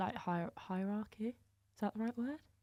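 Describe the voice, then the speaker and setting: A woman speaks in an unremarkable speaking voice with ordinary pitch variation. The sound is dry and close, with no echo. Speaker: university netball player. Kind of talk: casual chat.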